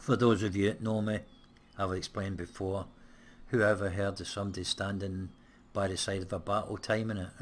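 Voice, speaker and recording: A fairly quick, fairly low-pitched man with a British accent, monotone, flat intonation and long, frequent pauses. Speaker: gaming let's play creator. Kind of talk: casual gameplay commentary.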